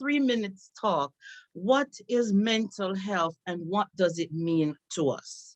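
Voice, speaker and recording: With a Jamaican accent, a woman talks at a very slow pace with lively intonation, in a dry, close sound with no echo. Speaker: psychotherapist and nursing professor. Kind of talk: presentation talk.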